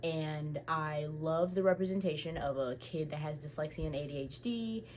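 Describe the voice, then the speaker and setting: With an animated tone and a somewhat breathy sound, a woman talks at a very deep, low pitch with ordinary pitch variation. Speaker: book YouTuber. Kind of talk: casual chat. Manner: fast.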